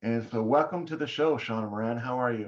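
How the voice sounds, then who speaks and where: A plain, everyday voice from a man at medium pitch, with ordinary pitch variation. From Canada. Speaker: podcast host. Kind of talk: podcast interview.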